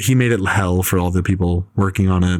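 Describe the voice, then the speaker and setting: A man with a very deep, low pitch speaks at a very fast pace. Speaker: film podcast co-host. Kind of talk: casual chat. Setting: home apartment recording. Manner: fast, breathless.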